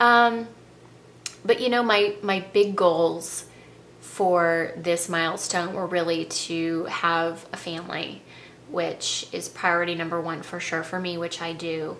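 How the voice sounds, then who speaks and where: Over light background noise, a woman speaks in a fairly low pitch at a fairly slow pace. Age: 40s. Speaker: style vlogger. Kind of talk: personal vlog monologue. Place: home room. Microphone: webcam.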